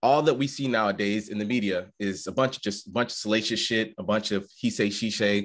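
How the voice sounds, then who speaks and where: With an American accent and a normal speaking voice, a man talks at a fairly quick pace with hardly any pauses. His pitch is fairly low and his intonation fairly even, over a quiet background. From Detroit, US. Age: 20s. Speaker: podcast co-host, network engineer. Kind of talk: casual chat.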